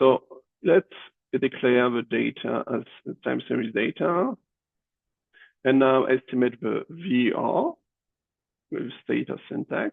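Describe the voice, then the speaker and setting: A man's very slow delivery, broken by long, frequent pauses. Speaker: economics professor. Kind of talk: tutorial. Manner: halting, many fillers.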